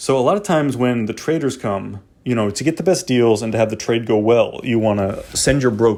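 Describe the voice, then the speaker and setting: A man at medium pitch and a fairly quick pace, with ordinary pitch variation and hardly any pauses. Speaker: video game tutorial host. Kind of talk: tutorial. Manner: fast; casual, filler-heavy.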